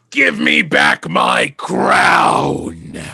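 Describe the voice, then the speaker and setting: In a put-on character voice, a man speaks with a very deep, low pitch and a raspy quality. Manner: commanding, demanding.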